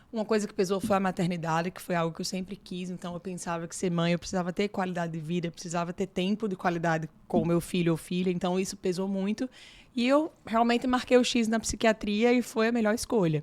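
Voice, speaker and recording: In a very clean recording with a silent background, a woman talks at a very fast pace with a strong Natal accent, her medium pitch showing ordinary variation. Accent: strong Northeastern Brazilian (Natal). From Brazil, Natal (Northeast). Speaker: psychiatrist. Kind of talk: interview.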